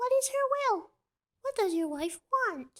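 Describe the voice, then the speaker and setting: This is a put-on character voice, squeaky and extremely high-pitched. It moves at a fairly slow pace. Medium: read story.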